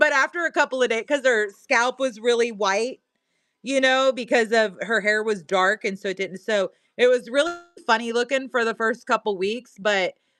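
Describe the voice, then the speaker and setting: A woman with a Missouri accent talks in an animated tone with ordinary pitch variation, the sound dry and close with no echo. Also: moderate pace. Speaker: live-stream seller. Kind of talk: casual live-stream chat.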